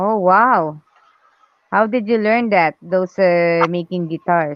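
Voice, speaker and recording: A woman talks at a very slow pace. She speaks with a non-native accent. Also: medium pitch for a woman, ordinary pitch variation. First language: not English. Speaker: artist livestreaming drawing. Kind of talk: casual chat.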